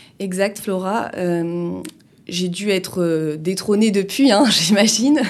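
Over noticeable background noise and audible room echo, a woman speaks at a fairly slow pace and medium pitch with ordinary pitch variation. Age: 30s. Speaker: insurance agent and business owner. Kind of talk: interview. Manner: hesitant, many fillers.

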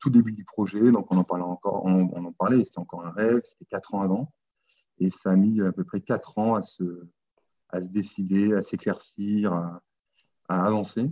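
Using long, frequent pauses and big swings in loudness, a man with a fairly low pitch speaks at a moderate pace with fairly even intonation. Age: 30s. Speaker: farmer and former accountant. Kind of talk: casual interview.

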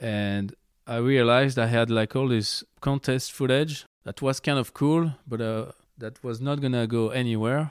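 A man with a French accent and fairly even intonation, on a very clean recording with a silent background. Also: medium pitch for a man, moderate pace. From France, Lyon. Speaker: skate videographer and photographer. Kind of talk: interview. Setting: at his home.

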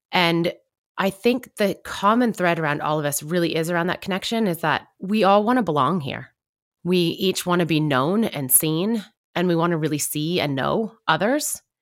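At a moderate pace, an ordinary speaking voice comes through in a very clean recording with a silent background. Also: woman, fairly low pitch for a woman, lively intonation. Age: 40s. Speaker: event organizer and conference program director. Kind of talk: interview conversation.

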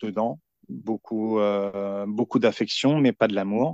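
A man speaks in a fairly low pitch. The sound is dry and close with no echo, over a quiet background. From Paris region, France. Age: 40s. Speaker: IT worker, dominant interviewee. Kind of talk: interview testimony. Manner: halting.

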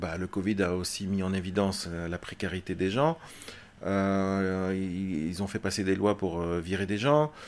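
Ordinary pitch variation in a man's very deep, low voice. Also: fairly slow pace, very clean recording, silent background. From Belgium. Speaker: film director. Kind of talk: interview. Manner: halting, many repetitions and fillers.

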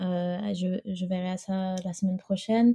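A woman's somewhat breathy, medium-pitched voice with a dark, mellow tone and monotone, flat intonation. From Sweden. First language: Swedish (speaking French). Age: 20s. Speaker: fashion rental entrepreneur. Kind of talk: interview. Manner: halting.

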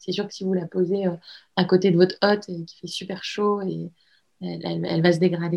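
A woman with a medium pitch and a somewhat breathy voice talks at a moderate pace. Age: 20s. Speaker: entrepreneur, cosmetics brand founder. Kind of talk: interview. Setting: remote call.

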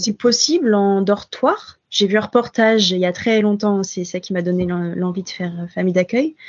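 A woman's normal speaking voice at medium pitch, fairly slow in pace, with ordinary pitch variation. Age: 20s. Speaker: veterinary student and guide dog foster carer. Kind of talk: casual interview. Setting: video call.

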